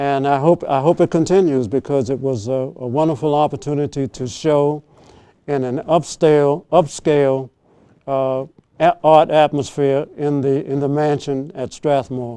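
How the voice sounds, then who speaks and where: A man with an American accent speaks at a moderate pace in a fairly high voice with a dark, mellow tone. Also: fairly even intonation. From Washington DC. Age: 80s+. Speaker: retired artist. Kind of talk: interview. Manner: halting, repetitive.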